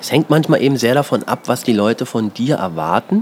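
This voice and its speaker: Amid noticeable background noise, a man talks at a medium pitch with ordinary pitch variation. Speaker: podcast host and comedian. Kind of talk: interview. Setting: outdoors on home terrace.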